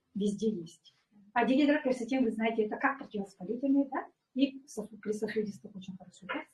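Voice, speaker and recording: A somewhat breathy woman talks at a very fast pace with big swings in loudness. Her pitch is fairly high, with ordinary variation. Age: 60s. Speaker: former pediatrician, wellness product distributor. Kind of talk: product presentation testimony. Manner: hesitant, many fillers.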